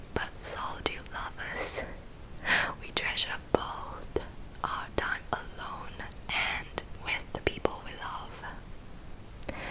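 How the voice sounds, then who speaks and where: A woman whispers in a gentle tone at a very slow pace. Noticeable background noise sits behind her. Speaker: ASMR creator and counselling psychology graduate. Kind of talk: whispered ASMR talk on mental health. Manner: whispered, soft, gentle.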